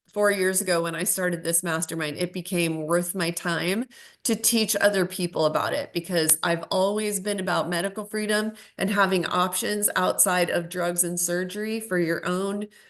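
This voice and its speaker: A woman at a medium pitch with fairly even intonation and a moderate pace, against a quiet background. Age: 50s. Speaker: bitcoin educator and channel host. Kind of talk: casual monologue.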